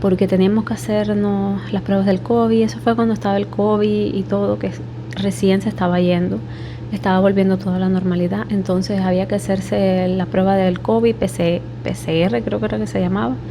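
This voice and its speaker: Noticeable background noise and audible room echo surround a woman speaking with an eastern Cuban accent. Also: moderate pace. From Cuba, Holguín (eastern Cuba). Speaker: vlogger. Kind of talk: personal story vlog. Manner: speaking quietly.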